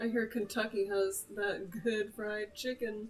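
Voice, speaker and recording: With music in the background, a woman with a slight Oklahoma accent speaks at a fairly high pitch. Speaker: gamer / livestreamer. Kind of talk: casual chat. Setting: livestream.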